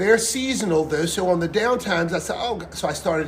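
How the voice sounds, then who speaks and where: With audible room echo and noticeable background noise, a man speaks at a high pitch and fairly quick pace with lively intonation. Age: 60s. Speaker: singer and pianist, restaurant owner. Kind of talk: interview.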